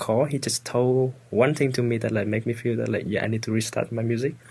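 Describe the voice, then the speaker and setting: The speech has a Vietnamese accent and a monotone, flat intonation. It rushes at a very fast pace with hardly any pauses. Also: man. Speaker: student guest. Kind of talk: casual chat. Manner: halting.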